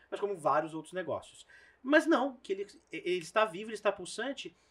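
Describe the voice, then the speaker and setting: A man's very wide pitch swings at a moderate pace. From interior of São Paulo state, Brazil. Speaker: videocast host. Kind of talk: casual interview.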